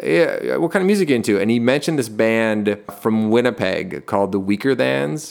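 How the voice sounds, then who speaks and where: A man with a normal speaking voice at a medium pitch talks at a fairly quick pace. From Canada, Toronto. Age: 30s. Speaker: lead singer of a rock band. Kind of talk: casual chat.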